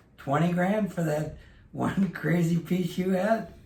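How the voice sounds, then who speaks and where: There is audible room echo around a man whose pitch is high and whose intonation stays fairly even. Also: very even loudness. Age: 70s. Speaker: vintage clothing dealer. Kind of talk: casual chat.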